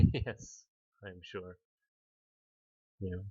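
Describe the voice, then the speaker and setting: A man's voice with a non-native accent. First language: not English. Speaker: game commentator. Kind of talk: live commentary. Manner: hesitant, many fillers.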